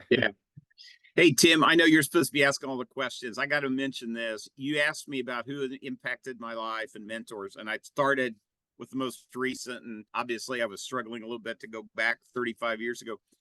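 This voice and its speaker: At a fairly quick pace, a man speaks with a medium pitch, fairly even intonation and a bright, sharp tone, in a dry, close sound with no echo. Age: 70s. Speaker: business consultant, company CEO. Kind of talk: interview. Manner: halting, many fillers and repeats.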